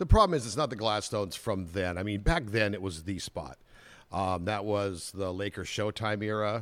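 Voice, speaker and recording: In a very clean recording with a silent background, a man with an American accent talks at a moderate pace in a plain, everyday voice pitched fairly low. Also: ordinary pitch variation. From Southern California (Anaheim). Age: 60s. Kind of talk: casual interview.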